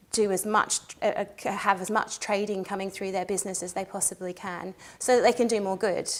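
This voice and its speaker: In an Australian accent, a woman talks at a fairly quick pace. Her medium-pitched voice is monotone and flat. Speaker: social enterprise adviser. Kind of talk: interview. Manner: halting, many fillers.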